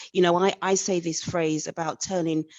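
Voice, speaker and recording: A woman talks at a fairly quick pace with an English accent. Her pitch is fairly low. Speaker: audience member asking a question. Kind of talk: live Q&A question. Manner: halting.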